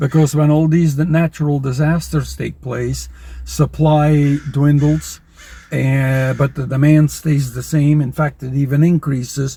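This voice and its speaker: A dark, mellow tone, somewhat breathy, with fairly even intonation at a very slow pace. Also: man. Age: 70s. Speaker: personal finance YouTuber. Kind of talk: casual to-camera monologue. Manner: conversational, with frequent fillers.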